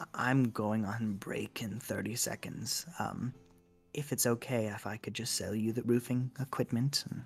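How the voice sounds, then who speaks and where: With faint music in the background, a man puts on a character voice at medium pitch and a moderate pace. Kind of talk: commercial announcer. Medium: actual play. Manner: salesy, slogan-repeating.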